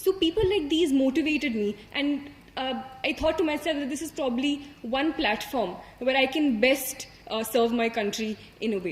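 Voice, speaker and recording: A woman with an Indian accent speaks at a moderate pace, high-pitched and with lively intonation. Noticeable background noise can be heard. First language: Hindi. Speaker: civil service exam topper. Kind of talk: motivational talk. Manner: halting.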